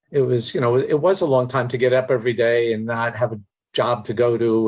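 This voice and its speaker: A man is speaking at a moderate pace. His pitch sits in the medium range. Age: 60s. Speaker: business executive and former business school dean. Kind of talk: interview. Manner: halting, many fillers.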